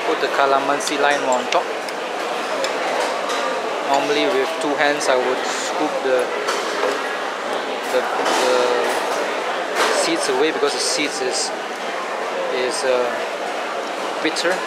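Loud background noise runs under a man's voice. He speaks at a fairly slow pace with long, frequent pauses. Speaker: food vlogger. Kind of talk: casual vlog chat. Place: market. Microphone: phone near.

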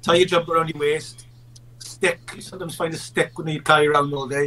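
A man's fairly high voice in a South Wales Valleys accent, very fast, with fairly even intonation and big swings in loudness. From South Wales Valleys, Merthyr Tydfil. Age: 40s. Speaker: actor and filmmaker; actor. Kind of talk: casual chat; interview answer. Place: home room.

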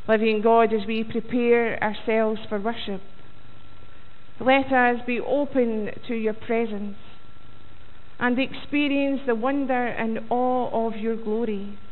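A woman's very slow delivery with monotone, flat intonation. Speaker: minister leading worship. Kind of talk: welcome and opening prayer. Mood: calm, reverent. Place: church.

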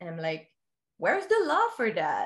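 Against a quiet background, a woman with a Quebec accent speaks at a moderate pace. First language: French. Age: 20s. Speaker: education product distributor. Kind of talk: personal testimony in casual interview. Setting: remote call. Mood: animated, gesturing storytelling. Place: home room. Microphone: earbuds.

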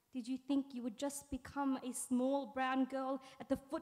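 A dark, mellow tone at a fairly slow pace, with monotone, flat intonation. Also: woman, quiet background. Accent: Australian. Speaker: spoken word poet. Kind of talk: spoken word poetry performance. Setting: stage with audience. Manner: deadpan, wry intro, then intense and deliberate delivery. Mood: earnest, intense, questioning. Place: stage. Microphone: studio mic.

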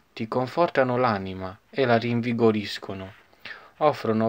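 A man speaks at a fairly slow pace, with ordinary pitch variation. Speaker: poet and channel host. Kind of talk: poetry reading aloud. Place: home room. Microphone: phone near.

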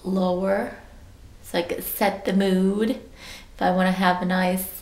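A woman speaks at a very slow pace, somewhat breathy and in a monotone, flat intonation. Audible room echo surrounds her. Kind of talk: casual vlog chat. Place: bathroom. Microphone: phone near.

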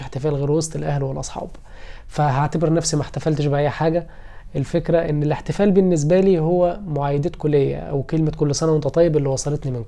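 Man with a fairly high pitch and a dark, mellow tone, fairly quick pace, fairly even intonation, and a quiet background. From Egypt. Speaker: lawyer and YouTuber; lawyer, YouTuber. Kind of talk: personal vlog. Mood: warm, grateful, a bit wistful. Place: home room. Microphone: phone near.

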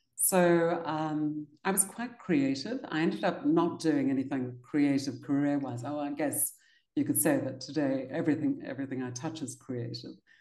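A woman with a dark, mellow tone and a very deep, low pitch speaks at a moderate pace with ordinary pitch variation and hardly any pauses. The background is quiet, though audible room echo comes through. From South Africa, Cape Town. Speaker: leadership consultant and author; interview guest. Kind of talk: interview. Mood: warm, smiling. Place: home room. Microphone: video call.

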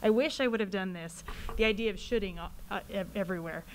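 With lively intonation, a woman with an unremarkable speaking voice talks at a fairly quick pace. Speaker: school mental health staff. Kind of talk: presentation to school board.

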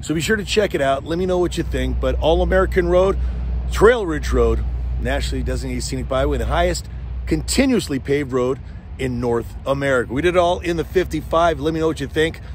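Against light background noise, a man talks very fast in a dry recording with no echo. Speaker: car vlogger. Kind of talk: casual vlog chat. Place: street. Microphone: phone near.

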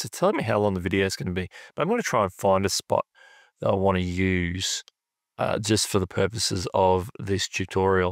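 In a dry sound with no echo and a quiet background, a man with a plain, everyday voice speaks at a fairly low pitch and fairly quick pace with fairly even intonation. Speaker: YouTube creator. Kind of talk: tutorial. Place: home room.

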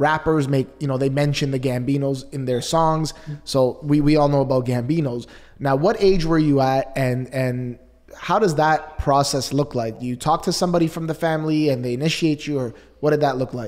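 In a Canadian accent, a plain, everyday voice speaks at a moderate pace with fairly even intonation against a quiet background. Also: man, fairly high pitch for a man. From Canada. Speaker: podcast host. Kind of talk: interview. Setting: video call. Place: studio. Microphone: studio mic.

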